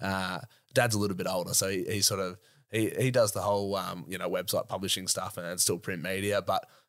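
Here a man talks fairly quickly with an Australian accent. The recording is very clean, with a silent background. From Australia, Sydney north shore. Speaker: 4x4 YouTube content creator. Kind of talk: casual chat.

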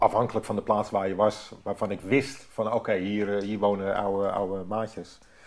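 A fairly low-pitched man against a quiet background. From North Holland, Netherlands (Hoorn). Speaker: former commando conscript. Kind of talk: interview. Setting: at home. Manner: halting, many repetitions.

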